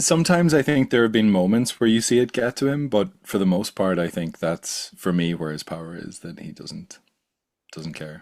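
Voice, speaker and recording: A man with an Irish accent speaks in a medium pitch. His voice has very wide pitch swings and big swings in loudness. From Ireland, small coastal town. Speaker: podcast host and science communicator. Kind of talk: casual interview chat.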